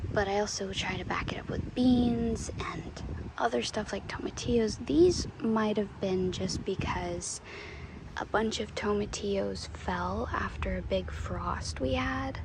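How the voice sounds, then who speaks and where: Soft-spoken and relaxed, a woman talks at a fairly slow pace over noticeable background noise. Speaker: home gardener. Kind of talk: casual talk to camera. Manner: soft-spoken, relaxed.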